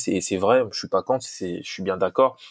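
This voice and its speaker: On a very clean recording with a silent background and a dry, close sound with no echo, a man with a plain, everyday voice speaks at a fairly low pitch with fairly even intonation. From DR Congo. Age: young. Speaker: football coach. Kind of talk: interview.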